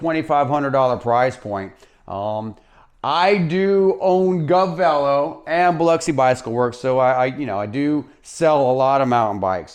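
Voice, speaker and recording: A man speaks in a normal speaking voice at a moderate pace, his intonation lively. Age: 50s. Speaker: bike shop owner and mountain bike reviewer. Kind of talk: product review. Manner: casual, with fillers and false starts.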